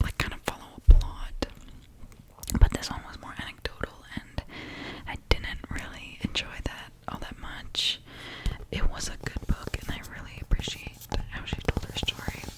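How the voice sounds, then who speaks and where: Whispering comes at a fairly slow pace with long, frequent pauses over noticeable background noise. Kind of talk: ASMR book review talking to camera. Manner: whispered, soft-spoken.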